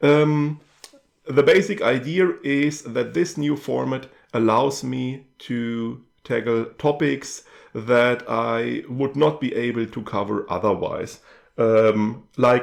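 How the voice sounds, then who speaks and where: With a German accent, a man speaks at a very slow pace and with ordinary pitch variation against a quiet background. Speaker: YouTube channel host. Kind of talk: channel update talk to camera. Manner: hesitant with many fillers.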